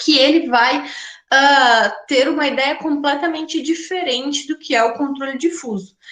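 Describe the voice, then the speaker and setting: With audible room echo, a woman speaks at a high pitch and a fairly slow pace, her pitch varying in an ordinary way. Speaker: law professor. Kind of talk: lecture.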